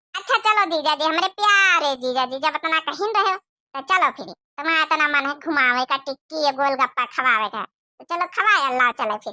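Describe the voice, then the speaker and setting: At a moderate pace, a woman uses a cartoonish character voice, high-pitched and with lively intonation. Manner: loud, scolding.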